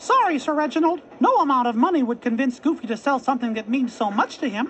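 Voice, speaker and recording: A female-sounding, put-on character voice speaks at a high pitch and a very fast pace. Background noise is clear. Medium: read story.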